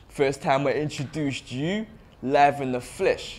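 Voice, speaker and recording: On a very clean recording with a silent background, a man in a London accent speaks at a moderate pace with ordinary pitch variation. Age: young. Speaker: spoken word poet. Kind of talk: spoken word performance.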